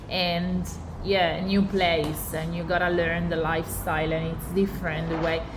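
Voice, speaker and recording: A woman with an Italian accent speaks at a fairly low pitch, keeping a moderate pace and a flat, monotone intonation. The room echo is audible, and there is noticeable background noise. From Italy. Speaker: podcast host. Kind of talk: casual interview chat.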